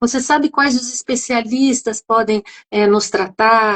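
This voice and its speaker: A woman's voice at a fairly high pitch. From interior of São Paulo state, Brazil. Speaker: psychoanalyst and patient group founder. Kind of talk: live stream discussion. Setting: live video stream. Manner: animated.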